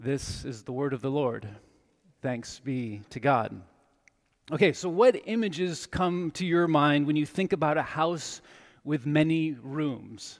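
With an unremarkable speaking voice, a man talks fairly slowly at a fairly high pitch, his intonation lively, on a very clean recording with a silent background. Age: 40s. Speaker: pastor. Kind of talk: sermon.

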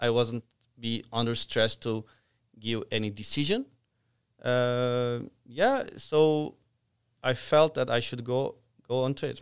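This man talks at a very slow pace with long, frequent pauses, a medium pitch and fairly even intonation. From outside Canada, immigrant. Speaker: franchise operator in construction. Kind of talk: casual interview chat.

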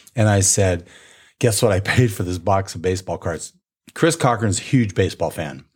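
In a very clean recording with a silent background, a man talks at a moderate pace in a fairly low, somewhat breathy voice with lively intonation. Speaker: podcast host. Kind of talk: casual chat.

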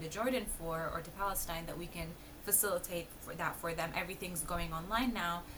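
Background noise is noticeable, and the room echoes audibly. The speaker is a woman. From Palestinian family. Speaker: embroidery design business founder. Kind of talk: casual interview.

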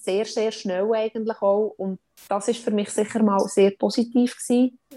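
Recorded dry and close with no echo, a woman with a fairly high pitch speaks fairly slowly in a monotone, flat intonation. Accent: Swiss. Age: 30s. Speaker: mother sharing birth story, mental trainer. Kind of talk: testimony.

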